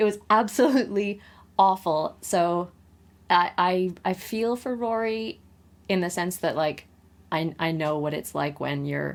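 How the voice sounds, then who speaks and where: On a very clean recording with a silent background, a woman speaks at a fairly slow pace and medium pitch with ordinary pitch variation in a normal speaking voice. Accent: Canadian. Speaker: podcast co-host. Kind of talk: casual chat.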